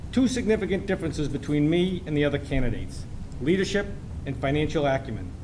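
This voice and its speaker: With an American accent, a man speaks very fast at a fairly high pitch, swinging very widely in pitch amid audible room echo. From Massachusetts. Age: 60s. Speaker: city council candidate. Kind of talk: debate opening statement. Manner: formal.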